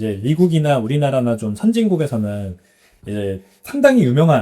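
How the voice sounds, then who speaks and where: A man speaks at a medium pitch. His tone is dark and mellow, somewhat breathy. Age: 40s. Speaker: bitcoin entrepreneur. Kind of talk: podcast interview.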